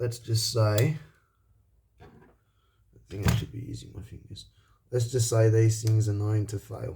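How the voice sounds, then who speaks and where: Somewhat breathy and monotone, a man speaks at a fairly slow pace with flat intonation and long, frequent pauses. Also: medium pitch for a man. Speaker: electronics repair youtuber. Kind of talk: tutorial. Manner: casual, halting with fillers.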